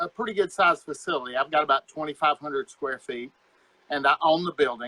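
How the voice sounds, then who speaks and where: Fairly high-pitched for a man, this American-accented speaker talks at a very fast pace with a bright, sharp tone and a dry, close sound with no echo. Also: ordinary pitch variation. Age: 60s. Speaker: martial arts instructor. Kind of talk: casual chat.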